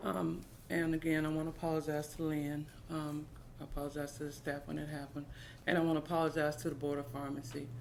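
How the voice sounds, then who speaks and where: Someone talks at a very fast pace, with audible room echo. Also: woman. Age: 50s. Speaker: pharmacy technician. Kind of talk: testimony.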